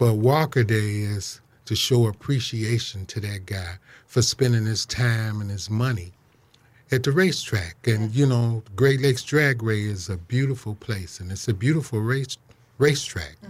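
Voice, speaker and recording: A somewhat breathy man's voice comes through on a very clean recording where the background is silent. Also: medium pitch for a man, ordinary pitch variation, moderate pace. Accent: American. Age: 60s. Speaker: drag racer and racing historian. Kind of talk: radio interview. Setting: studio.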